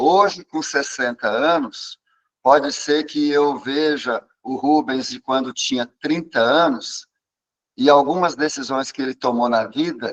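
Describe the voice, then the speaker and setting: In a dry, close recording with no echo, a man with a fairly high pitch and ordinary pitch variation speaks at a very slow pace. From Brazil, São Paulo state. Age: 60s. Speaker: psychologist. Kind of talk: interview talk.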